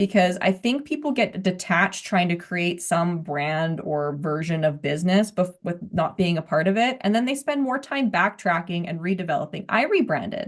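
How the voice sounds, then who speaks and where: Over a quiet background, the speaker keeps a moderate pace with lively intonation and hardly any pauses. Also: woman, medium pitch for a woman. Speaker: podcast host. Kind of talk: casual interview chat. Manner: loud.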